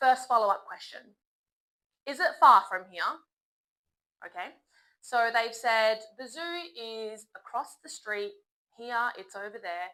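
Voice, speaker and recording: Bright and sharp in tone, the speaker uses an Australian accent at a very slow pace, with lively intonation, big swings in loudness and long, frequent pauses. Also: woman, fairly high pitch for a woman. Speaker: English teacher. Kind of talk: tutorial. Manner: slow and clear, polite tone.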